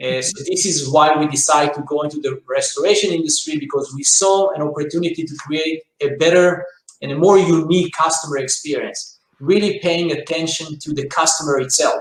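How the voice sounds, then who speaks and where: A man with an Israeli accent, at a fairly high pitch and a fairly quick pace, with fairly even intonation and hardly any pauses. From Israel, rural south. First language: Hebrew. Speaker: business owner, franchise CEO. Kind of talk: interview.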